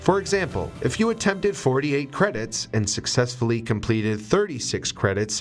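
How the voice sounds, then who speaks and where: Music plays behind a man speaking at a medium pitch. His pace is moderate and his pitch swings very widely. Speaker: voice actor. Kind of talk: corporate narration, educational explainer. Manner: clear, measured, informative.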